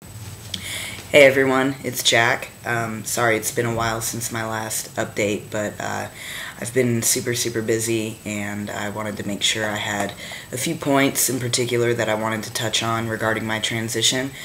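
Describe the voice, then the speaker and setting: Talking at a moderate pace, a man has a medium pitch and monotone, flat intonation. Room echo is audible, along with noticeable background noise. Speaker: vlogger and touring band musician. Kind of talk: casual video diary. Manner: halting, with many fillers.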